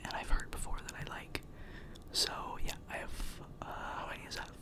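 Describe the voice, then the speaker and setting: A man is whispering amid noticeable background noise. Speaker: ASMR content creator. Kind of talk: ASMR trigger-word whisper ramble to camera. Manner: close-up whisper, repeating words.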